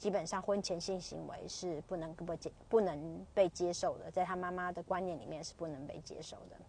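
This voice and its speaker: A woman speaks at a moderate pace with hardly any pauses, her fairly low voice dark and mellow with vocal fry. Her loudness swings widely. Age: 30s. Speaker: podcaster. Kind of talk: casual monologue. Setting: commuting to work. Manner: halting, many fillers.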